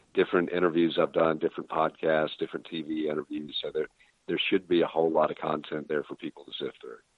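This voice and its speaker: This man's speech moves fairly quickly. His volume rises and falls a great deal. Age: 50s. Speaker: former mayor, leadership consultant. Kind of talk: interview.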